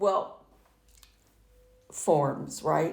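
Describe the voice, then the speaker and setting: A woman's lively intonation with vocal fry, in an American accent. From San Francisco, USA. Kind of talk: oral history interview answer.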